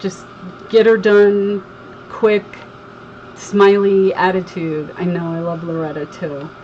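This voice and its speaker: A woman's very slow speech in an American accent, medium in pitch and fairly even in intonation, with long, frequent pauses, big swings in loudness and noticeable background noise. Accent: slight Southern twang over Northeastern US. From Connecticut, US. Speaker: crafter, livestream host. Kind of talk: casual chat on a craft livestream.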